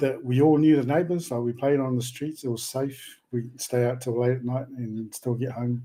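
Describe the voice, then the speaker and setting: With hardly any pauses, a man speaks at a moderate pace in a medium-pitched, dark and mellow voice with fairly even intonation.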